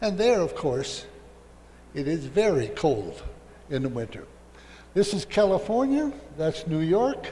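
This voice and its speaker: Speaking slowly with an American accent, a man uses a high pitch with very wide pitch swings and long, frequent pauses, and audible room echo surrounds him. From US Midwest, Minnesota. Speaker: professor. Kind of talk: lecture. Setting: lecture hall with audience.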